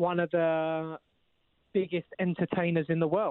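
Speaking at a moderate pace, a man with a high pitch talks in a London accent. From East London. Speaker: actor. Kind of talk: casual chat.

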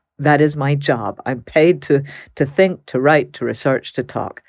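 A woman's very deep, low voice at a moderate pace. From Texas. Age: middle-aged. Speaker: criminologist. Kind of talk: interview.

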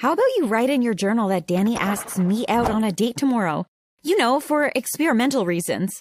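Plain reading aloud with lively intonation against a quiet background.

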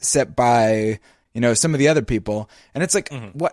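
Against a quiet background, a man with an American accent and an ordinary speaking voice talks at a medium pitch with lively intonation, the sound dry and close with no echo. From United States. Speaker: podcast co-host. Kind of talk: casual chat.

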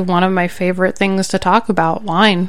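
A woman talks in an ordinary speaking voice at a medium pitch. Her intonation stays fairly even. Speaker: podcast co-host. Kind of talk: casual chat. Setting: studio.

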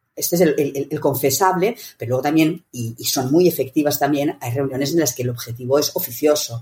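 Somewhat breathy and dark, mellow in tone, a woman with a very deep, low pitch talks at a fairly quick pace with ordinary pitch variation and hardly any pauses. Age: 60s. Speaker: meetings consultant and author. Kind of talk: interview.

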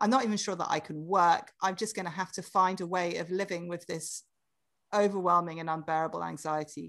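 Against a quiet background, a woman with a British accent speaks at a fairly low pitch and a fairly quick pace, her intonation fairly even. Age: 40s. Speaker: author. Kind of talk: casual interview chat.

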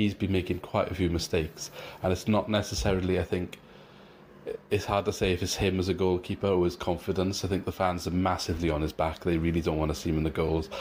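Speaking very fast in a Welsh accent, a man holds a very deep, low pitch with monotone, flat intonation and very even loudness. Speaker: rival football podcaster. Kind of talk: recorded preview.

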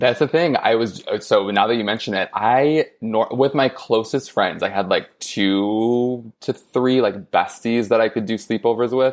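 A man with an unremarkable speaking voice and medium pitch talks at a fairly slow pace with hardly any pauses. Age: 30s. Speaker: author. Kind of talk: casual chat.

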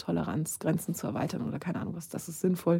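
A woman's very fast, fairly low voice, dark and mellow, with vocal fry. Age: 30s. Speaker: screenwriter. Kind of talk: casual chat.

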